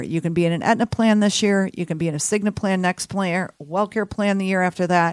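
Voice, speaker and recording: A woman with an American accent and medium pitch speaks at a very fast pace with hardly any pauses and ordinary pitch variation, the sound dry and close with no echo. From Texas, Houston. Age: 50s. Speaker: health insurance advisor. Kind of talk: radio interview. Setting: studio.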